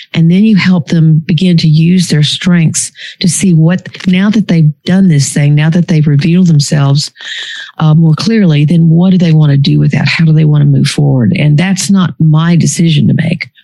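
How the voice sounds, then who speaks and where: A woman's plain, everyday voice, fairly low in pitch, at a moderate pace with fairly even intonation. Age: 60s. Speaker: psychologist and author. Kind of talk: interview conversation.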